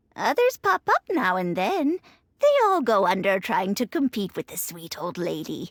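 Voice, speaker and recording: Speaking in a put-on character voice, a woman keeps a medium pitch and moderate pace with big swings in loudness, in a dry, close sound with no echo. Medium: machinima. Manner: chatty, chuckling.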